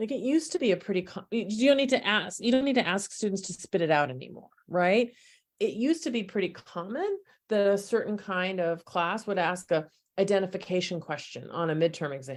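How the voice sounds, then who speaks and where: At a fairly quick pace, a woman of medium pitch speaks with lively intonation. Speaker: professor. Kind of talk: casual chat. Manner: pausing to find words.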